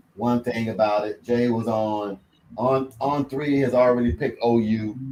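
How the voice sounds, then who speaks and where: Medium pitch from a man at a moderate pace. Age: 50s. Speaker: sports talk show host, football coach. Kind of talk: casual chat. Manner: animated.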